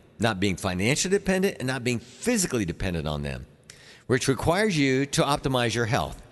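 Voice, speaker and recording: With vocal fry, a man speaks at a fairly quick pace and medium pitch, his pitch swinging very widely. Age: 60s. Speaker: chiropractor and radio health show host. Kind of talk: radio health talk show. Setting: radio studio, pre-recorded. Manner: halting, with frequent fillers and repeats.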